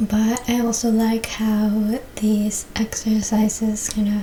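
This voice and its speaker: Someone soft-spoken talks against noticeable background noise. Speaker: yoga and stretching instructor. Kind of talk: exercise instruction to camera.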